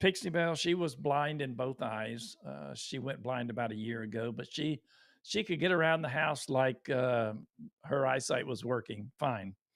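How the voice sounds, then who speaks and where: Recorded very cleanly against a silent background, a man with a Texan accent talks at a medium pitch with ordinary pitch variation. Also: fairly slow pace. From Texas. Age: 60s. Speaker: YouTuber. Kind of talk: live stream talk. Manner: halting.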